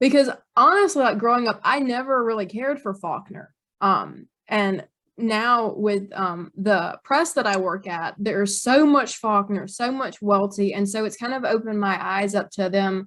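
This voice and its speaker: A woman speaks with a Mississippi accent at a fairly high pitch. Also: ordinary pitch variation, moderate pace, very clean recording, silent background. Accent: Southern (Mississippi). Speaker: author. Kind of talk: interview conversation. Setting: podcast interview. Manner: casual with many fillers.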